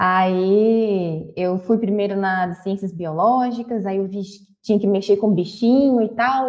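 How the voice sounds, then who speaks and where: This is a woman's voice. She speaks with a Minas Gerais accent. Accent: mineiro Brazilian Portuguese. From Brazil, Minas Gerais (Belo Horizonte). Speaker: university professor. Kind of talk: interview.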